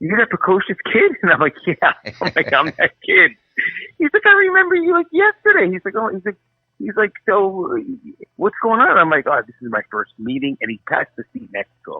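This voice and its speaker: An animated man with a New Jersey accent talks at a fairly quick pace. His loudness swings widely. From New Jersey, US. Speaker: author. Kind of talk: interview.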